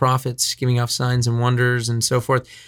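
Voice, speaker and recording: Recorded very cleanly against a silent background, a man speaks. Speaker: radio host and ministry leader. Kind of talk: casual chat. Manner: fast talker.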